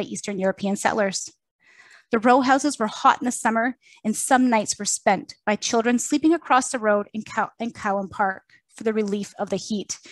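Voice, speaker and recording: A woman speaks in a plain, everyday voice with a fairly high pitch. The sound is dry and close, with no echo. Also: quiet background. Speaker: museum curator. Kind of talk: public lecture presentation.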